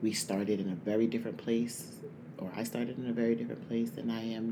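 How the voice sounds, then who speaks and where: Audible room echo surrounds a man's voice. He speaks at a fairly quick pace. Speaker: podcast host. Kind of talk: casual monologue. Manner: speaking low.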